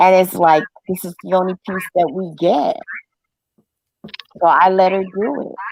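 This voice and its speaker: Speaking at a fairly slow pace with long, frequent pauses, a woman of medium pitch keeps a fairly even intonation while her loudness swings widely, all in a dry, close sound with no echo. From New York, Brooklyn. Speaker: live stream host. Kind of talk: casual chat.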